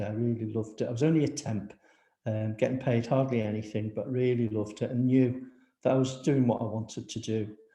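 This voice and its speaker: A man with a Liverpool accent speaks at a fairly quick pace and medium pitch. His voice is somewhat breathy. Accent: Liverpool (Scouse). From Liverpool, England. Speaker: housing and regeneration professional. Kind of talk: panel talk with slides.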